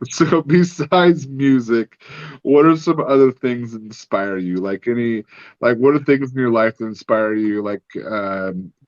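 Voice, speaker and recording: The voice moves at a moderate pace with lively intonation and big swings in loudness, in a dry, close sound with no echo. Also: man. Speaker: podcast co-host and artist. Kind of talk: casual chat. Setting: home studio.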